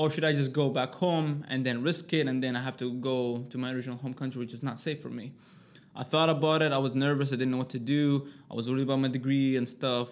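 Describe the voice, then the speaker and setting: A man talks very fast with an Arabic accent. His pitch is medium and his intonation monotone and flat. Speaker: personal trainer, formerly homeless. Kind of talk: interview, personal life story.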